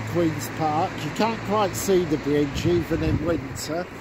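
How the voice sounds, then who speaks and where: Very slowly paced speech comes through noticeable background noise. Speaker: walking vlogger. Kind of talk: walking tour narration. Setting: outdoors.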